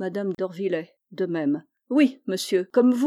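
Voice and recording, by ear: This is reading aloud in a natural voice with lively intonation. The background is quiet.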